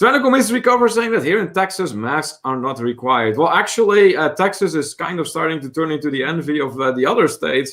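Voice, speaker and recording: The man talks at a very fast pace with a Dutch accent. His fairly high voice makes very wide pitch swings. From Netherlands. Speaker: travel vlogger, livestream co-host. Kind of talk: casual livestream chat, reading viewer comments.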